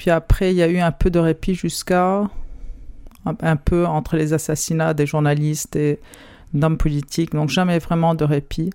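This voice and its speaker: Moderate pace broken by long, frequent pauses. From Lebanon, raised partly in France. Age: 40s. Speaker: journalist. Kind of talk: remote interview.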